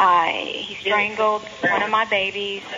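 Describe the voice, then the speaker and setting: Fairly even intonation from a woman at a medium pitch, with noticeable background noise behind her. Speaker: caller. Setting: phone call.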